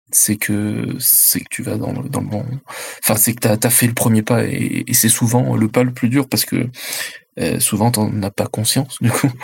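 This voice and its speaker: The man's voice sits at medium pitch, monotone and flat, moving at a fairly slow pace. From France, Chinese immigrant parents. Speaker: independent role-playing game designer. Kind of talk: roundtable discussion.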